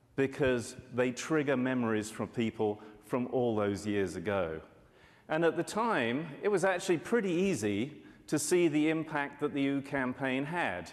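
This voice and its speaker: Speaking at a moderate pace, a man with a British accent holds a medium pitch but makes very wide pitch swings. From UK. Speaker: market research analyst. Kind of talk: conference presentation.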